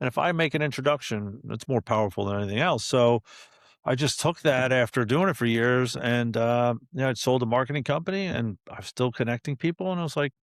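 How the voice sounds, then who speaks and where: The recording is very clean, with a silent background. A normal speaking voice goes at a fairly quick pace with ordinary pitch variation. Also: man, medium pitch for a man. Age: 50s. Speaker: entrepreneur and networking community founder. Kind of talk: podcast interview. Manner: casual, conversational.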